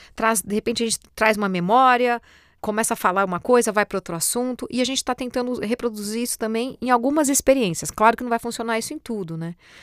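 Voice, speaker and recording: Her voice is fairly high, and she talks at a very fast pace. The woman's recording is dry and close with no echo. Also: ordinary pitch variation. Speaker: voice-over artist and presenter. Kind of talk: podcast monologue. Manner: hesitant, repeats words.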